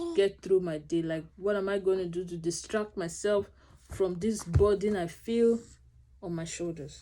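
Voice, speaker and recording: A woman speaks with a dark, mellow tone and ordinary pitch variation. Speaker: vlogger sharing infertility experience. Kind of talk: personal vlog talk to camera. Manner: fast, mumbling.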